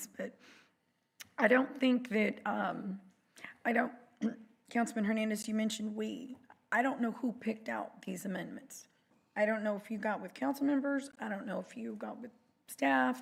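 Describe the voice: Putting on a character voice, a woman speaks at a moderate pace in a fairly high pitch that is raspy and hoarse, with lively intonation and long, frequent pauses.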